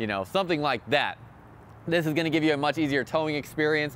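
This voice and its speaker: A man at a very fast pace, dry sound with no echo, light background noise. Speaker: RV salesperson reviewer. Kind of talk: product walkthrough commentary. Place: street. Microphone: phone near.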